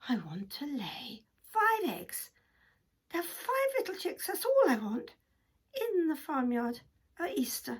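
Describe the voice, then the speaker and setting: Using a put-on character voice, a woman speaks at a fairly slow pace in an extremely high pitch with very wide swings and long, frequent pauses. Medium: read story. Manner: fussy, clucking.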